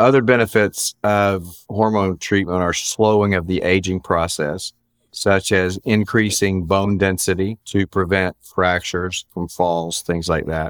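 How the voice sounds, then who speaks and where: The recording is very clean with a silent background. A man with a very deep, low pitch speaks at a fairly slow pace with fairly even intonation. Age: 60s. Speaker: physician. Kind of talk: interview.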